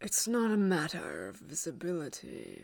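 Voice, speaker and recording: A woman speaks at a moderate pace in a put-on character voice, fairly low in pitch and hissing. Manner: hissing, baleful.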